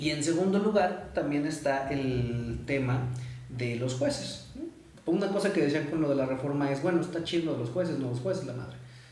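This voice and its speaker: Noticeable background noise and audible room echo fill the recording. A man speaks at a fairly high pitch. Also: ordinary pitch variation, moderate pace. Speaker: men's rights advocate. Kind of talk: live stream interview.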